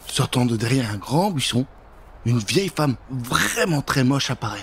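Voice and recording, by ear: A man talks at a medium pitch and a moderate pace. His voice moves in big pitch swings.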